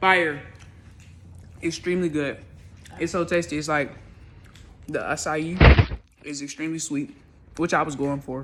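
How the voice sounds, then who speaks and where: Amid noticeable background noise and audible room echo, a woman with a very deep, low pitch speaks at a moderate pace with fairly even intonation, big swings in loudness, and long, frequent pauses. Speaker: vlogger. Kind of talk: cooking vlog; casual chat.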